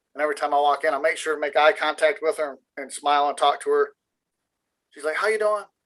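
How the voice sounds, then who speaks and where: Loud, very fast delivery with a bright, sharp tone. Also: man. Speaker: tradesman, shop worker. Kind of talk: casual chat. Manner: animated storytelling.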